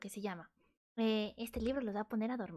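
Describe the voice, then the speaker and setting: Soft-spoken, a woman talks with a dark, mellow tone and fairly even intonation. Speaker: vtuber streamer. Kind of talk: casual livestream chat. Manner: loud; trying to speak softly.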